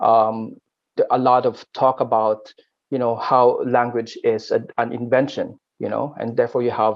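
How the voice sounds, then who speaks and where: A man with a Filipino accent. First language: Aklanon. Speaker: linguistics academic. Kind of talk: panel discussion. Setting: online webinar. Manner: halting, many fillers and repetitions.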